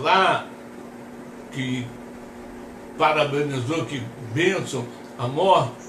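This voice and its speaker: Speaking at a very slow pace, a man is heard over noticeable background noise with audible room echo. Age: 60s. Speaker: pastor. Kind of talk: sermon.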